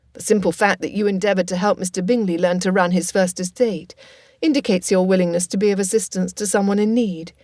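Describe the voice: Fairly even intonation in plain reading aloud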